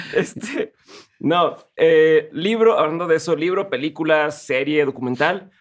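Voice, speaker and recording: A man with a Mexican accent, fairly high in pitch and fairly slow, with ordinary pitch variation over a quiet background. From Mexico. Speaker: podcast host. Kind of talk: interview. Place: studio. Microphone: studio mic.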